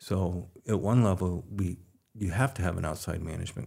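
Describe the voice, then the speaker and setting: A man's very deep, low voice, dark and mellow, somewhat breathy, at a moderate pace with ordinary pitch variation, on a very clean recording against a silent background. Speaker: furniture company chairman. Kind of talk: interview. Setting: studio.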